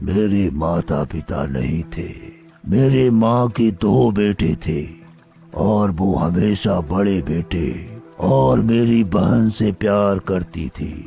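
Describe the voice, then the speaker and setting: A cartoonish character voice from a man, very deep and low, at a very slow pace over clear music in the background. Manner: menacing.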